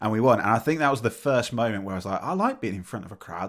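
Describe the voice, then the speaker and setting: A man with an English accent talks at a very fast pace with ordinary pitch variation, recorded very cleanly against a silent background. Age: 40s. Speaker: podcast host. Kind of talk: casual chat.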